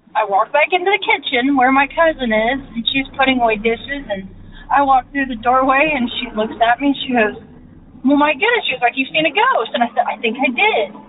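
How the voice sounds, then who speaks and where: Her high voice carries lively intonation. Noticeable background noise sits behind the woman. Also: fairly quick pace. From Indiana. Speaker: podcast listener caller. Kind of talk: personal story told into a recording.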